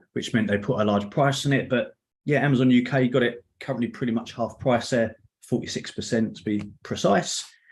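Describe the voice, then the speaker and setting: This man has a London accent and a fairly quick pace. His intonation stays fairly even. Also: medium pitch for a man. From London area, England. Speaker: Excel trainer and author. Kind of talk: online meetup presentation. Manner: casual, with filler words.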